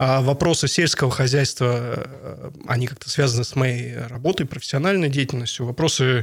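Medium-pitched male voice, somewhat breathy, with fairly even intonation at a moderate pace. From Bratsk, Irkutsk region, Russia. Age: 30s. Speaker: regional politician. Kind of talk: interview.

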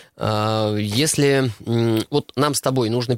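A man's plain, everyday voice at medium pitch with ordinary pitch variation, dry and close with no echo, in a very clean recording with a silent background. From Russia. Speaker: retail industry expert. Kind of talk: radio interview.

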